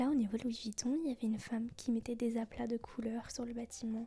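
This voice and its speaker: A soft-spoken woman talks at a moderate pace in a high pitch. Her tone is relaxed and calm, dark and mellow. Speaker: ASMR vlogger / content creator. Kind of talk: soft-spoken ASMR travel vlog. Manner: soft-spoken, relaxed, calm.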